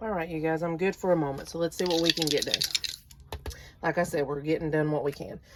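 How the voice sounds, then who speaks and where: A woman talks at a very fast pace and a fairly low pitch, with fairly even intonation and long, frequent pauses. Noticeable background noise is present. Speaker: budgeting vlogger. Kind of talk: casual tutorial, cash envelope stuffing. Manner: louder than usual, standing up.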